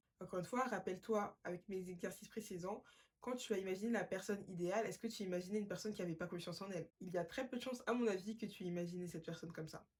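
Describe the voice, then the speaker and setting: The woman speaks at a very fast pace and a medium pitch. Her voice is somewhat breathy. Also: ordinary pitch variation. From Paris, France. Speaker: podcast host. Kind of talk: self-help podcast monologue.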